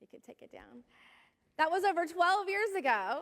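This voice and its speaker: A woman with an American accent uses a raised, projected voice with a bright, sharp tone. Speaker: pastor. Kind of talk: sermon.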